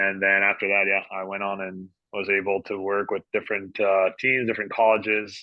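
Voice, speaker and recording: Speaking in a fairly low pitch with a slight French Canadian accent, a man keeps a moderate pace with hardly any pauses and a monotone, flat intonation. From Quebec, Canada. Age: 30s. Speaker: sports dietitian. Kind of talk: podcast interview.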